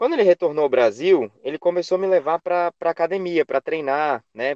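Fairly high for a man, a plain, everyday voice moves at a fairly quick pace with ordinary pitch variation, heard in a dry, close sound with no echo. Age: 20s. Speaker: physical education professional, Pilates instructor. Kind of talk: interview.

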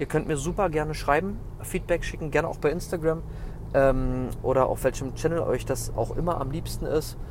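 A man talks at a moderate pace as the room's echo can be heard around him. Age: 30s. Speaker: fitness podcast host and personal trainer. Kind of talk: casual solo podcast monologue. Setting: personal training studio.

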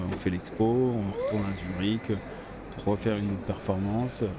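A man's fairly low voice with fairly even intonation, over noticeable background noise. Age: 30s. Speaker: street artist. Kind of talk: personal storytelling. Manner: halting, many fillers and repetitions.

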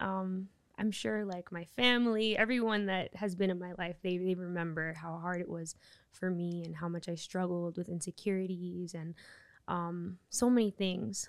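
This woman has an ordinary speaking voice. She talks at a medium pitch and a moderate pace, with ordinary pitch variation. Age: 30s. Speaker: church member, faith podcast guest. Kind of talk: casual chat.

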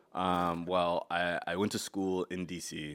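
On a very clean recording with a silent background, a man with an American accent talks in a very deep, low pitch with monotone, flat intonation. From Connecticut. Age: 20s. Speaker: stand-up comedian. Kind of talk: casual chat.

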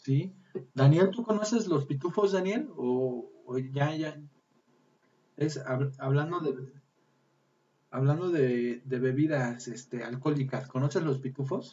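A man's fairly high voice with ordinary pitch variation, very slow, broken by long, frequent pauses. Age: 30s. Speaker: podcast host. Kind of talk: casual chat. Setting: live stream.

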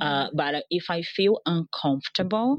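Speech comes at a moderate pace with ordinary pitch variation. The sound is dry and close, with no echo. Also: woman. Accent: Portuguese. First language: Portuguese. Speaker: digital marketing strategist. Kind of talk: interview.

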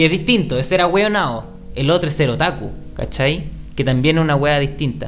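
A man talks at a fairly quick pace with a fairly high pitch and ordinary pitch variation. Music plays in the background, and the room echo is audible. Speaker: podcast host. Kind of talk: casual chat. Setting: home studio.

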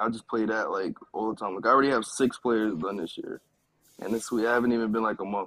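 A man with a New York accent at a fairly quick pace, in a dry, close sound with no echo. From Brooklyn, New York. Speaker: esports pro gamer. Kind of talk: casual interview.

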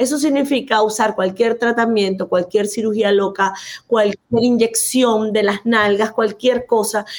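A woman's fairly high-pitched voice at a fairly slow pace, its loudness very even. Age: 50s. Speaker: physician and anti-aging coach. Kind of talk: interview. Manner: animated.

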